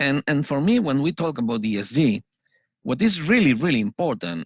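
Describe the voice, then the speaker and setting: A man speaks with lively intonation at a moderate pace, with a non-native accent. The sound is dry and close with no echo, over a quiet background. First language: Spanish. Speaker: financial analyst trainer. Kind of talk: panel discussion. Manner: hesitant, many fillers.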